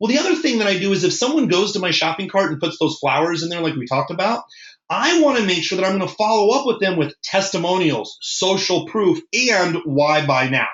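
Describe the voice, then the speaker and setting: A man with an American accent talks at a fairly quick pace with hardly any pauses and a high pitch. His tone is animated and his intonation lively. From Nebraska, US Midwest. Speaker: marketing trainer. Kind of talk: webinar presentation. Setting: live webinar. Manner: fast.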